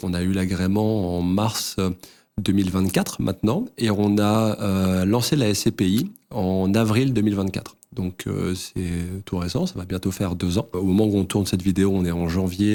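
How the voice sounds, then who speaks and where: Deep and low in pitch, a man's dark, mellow voice keeps fairly even intonation at a moderate pace. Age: 30s. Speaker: real estate fund executive. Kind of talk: interview. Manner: hesitant, many fillers.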